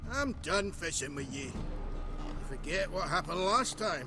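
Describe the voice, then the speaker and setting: Over loud background noise, a man does a gruff, put-on character voice at a high pitch and a moderate pace. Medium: video game. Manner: gruff, crude.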